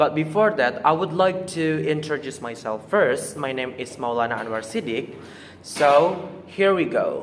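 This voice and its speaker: With an Indonesian accent, the speaker talks at a fairly slow pace with lively intonation amid noticeable background noise. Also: man, fairly high pitch for a man. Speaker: student presenter. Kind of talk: oral presentation.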